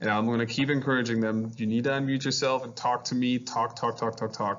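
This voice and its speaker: A man speaks at a medium pitch with a German accent. His intonation stays flat and monotone. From Germany, Hanover. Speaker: high school math teacher. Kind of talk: virtual open house presentation.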